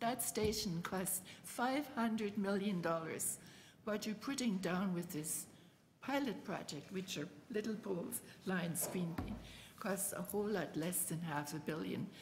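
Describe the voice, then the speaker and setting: Audible room echo surrounds a woman's somewhat breathy, medium-pitched voice as she talks at a fairly slow pace with ordinary pitch variation. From Germany. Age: 80s+. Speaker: retired city councillor. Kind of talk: public committee deputation. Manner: animated.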